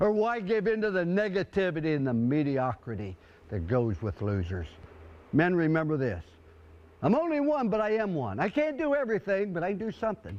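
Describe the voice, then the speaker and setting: An energetic man at a high pitch, fairly quick, with very wide pitch swings. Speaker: football coach. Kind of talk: halftime pep talk to a team. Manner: energetic, motivational, humorous.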